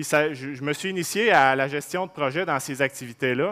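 Over a quiet background, a man speaks at a moderate pace with a fairly high pitch, a bright, sharp tone and ordinary pitch variation. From Quebec. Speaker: dairy farmer; presenter. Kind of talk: conference talk. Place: hall. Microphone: headset.

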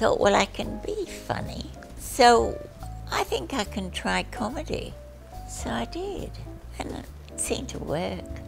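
A woman talks at a very slow pace with long, frequent pauses. Clear music plays in the background. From Australia. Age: 80s+. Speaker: retired nurse, comedian. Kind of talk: interview answer. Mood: cheerful, witty. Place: home room.

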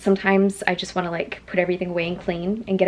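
A woman's fairly low voice, slightly mellow in tone, at a fairly quick pace over faint background noise.

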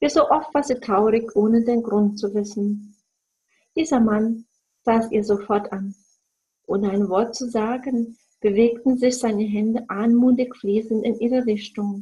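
A woman's fairly high, somewhat breathy voice with a warm, gentle, dark and mellow tone, fairly even intonation and a fairly slow pace. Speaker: storyteller reading fairy tales aloud. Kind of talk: bedtime story reading, fairy tale read aloud. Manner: gentle, slow, soothing storytelling pace; warm, expressive, dreamy with soft pauses.

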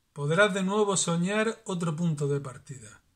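A man's sing-song, warm-toned voice with a high pitch at a fairly slow pace over a quiet background. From La Unión, Murcia, Spain. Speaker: trovo poet and flamenco artist. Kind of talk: poet reading improvised verse aloud. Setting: home video message. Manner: rhythmic, sing-song verse delivery with rhymes, warm and earnest. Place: home room. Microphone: phone near.

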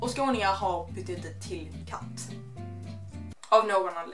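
A woman talks at a fairly slow pace while clear music is heard in the background. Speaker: YouTube vlogger. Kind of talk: casual talk to camera. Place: home room. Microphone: camera far.

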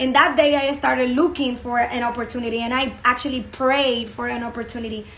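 A woman with a Spanish accent talks at a fairly quick pace with hardly any pauses. Her high voice keeps a fairly even intonation. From Dominican Republic. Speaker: network marketing business promoter. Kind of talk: sales pitch. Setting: online video presentation.

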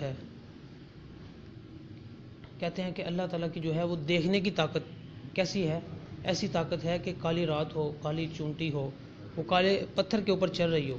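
A man's high-pitched voice in fairly even intonation, with noticeable background noise. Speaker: speaker. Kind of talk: sermon. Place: church.

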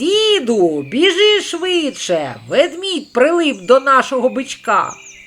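Doing a put-on character voice, a man speaks in an extremely high pitch with very wide pitch swings. His voice is raised and projected, and his pace is fairly slow. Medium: read story.

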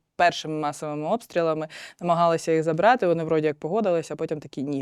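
The intonation is fairly even, and the sound is dry and close with no echo on a very clean recording with a silent background. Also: woman. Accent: Russian. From Ukraine, Zaporizhzhia. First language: Russian (speaking Ukrainian). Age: 30s. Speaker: soldier and volunteer, war widow. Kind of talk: interview.

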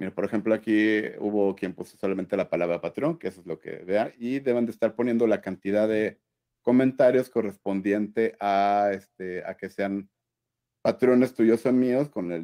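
Against a quiet background, a man with a fairly low pitch and a dark, mellow tone speaks at a moderate pace with ordinary pitch variation. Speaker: friend helping with giveaway; co-host guest on a live stream. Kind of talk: casual livestream chat. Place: home room. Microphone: video call.

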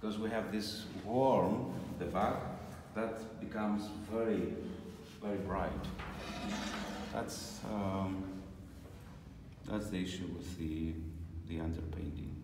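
Music plays in the background as a man talks at a very slow pace with ordinary pitch variation and long, frequent pauses, amid audible room echo. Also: fairly low pitch for a man. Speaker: icon painting teacher. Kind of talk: tutorial. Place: workshop. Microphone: phone near.

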